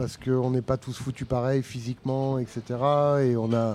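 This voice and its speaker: A man's voice sits at a medium pitch, his intonation fairly even, while noticeable background noise carries on behind it. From southern France. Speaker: folk musician. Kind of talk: casual interview chat. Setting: pub table.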